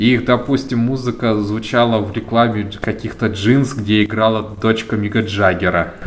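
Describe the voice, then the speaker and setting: At a moderate pace, a man with a medium-pitched voice speaks amid audible room echo and noticeable background noise. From Volzhsky, Volgograd region, Russia. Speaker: netlabel founder, music curator. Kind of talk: interview. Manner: calm.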